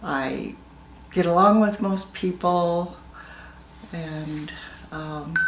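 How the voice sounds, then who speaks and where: A woman speaks very slowly in a fairly low voice with fairly even intonation and long, frequent pauses. Noticeable background noise and audible room echo fill the recording. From Colorado, US. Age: 80s+. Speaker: grandmother interviewed about her life. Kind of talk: family oral history interview.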